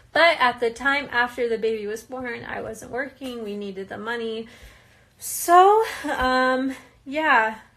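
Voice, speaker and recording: In an American accent, a woman speaks at a fairly slow pace in a high pitch, with a bright, sharp tone, ordinary pitch variation and big swings in loudness. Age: 20s. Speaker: reality TV participant. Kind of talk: live Q&A stream. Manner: casual, hesitant with fillers.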